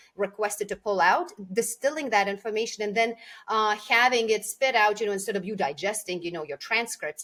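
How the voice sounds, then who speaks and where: In a Lithuanian accent, a woman of medium pitch talks at a very fast pace with ordinary pitch variation. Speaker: communication coach. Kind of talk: podcast interview. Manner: hesitant, many fillers.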